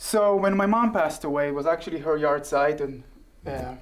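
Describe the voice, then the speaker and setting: Here a man speaks with an Israeli accent. His pitch is fairly high and his pace moderate. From Israel (southern kibbutz). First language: Hebrew. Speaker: guest, former soldier and actor. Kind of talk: interview. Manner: hesitant, many fillers.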